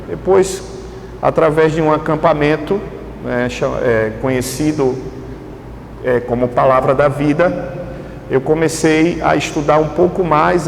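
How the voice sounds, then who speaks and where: A man's fairly high voice in a northeastern Brazilian accent, fairly slow with long, frequent pauses, ordinary pitch variation and very even loudness, plus audible room echo and noticeable background noise. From Brazilian Northeast, Pernambuco (greater Recife). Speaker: pastor. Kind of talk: sermon. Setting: church. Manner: halting, many fillers.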